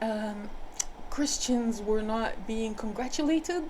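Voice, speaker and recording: With an American accent, a woman speaks in a fairly high voice with ordinary pitch variation, and both room echo and noticeable background noise are audible. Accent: switches between British and American. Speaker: spiritual healer. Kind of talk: personal storytelling monologue. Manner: hesitant, with fillers and repetitions.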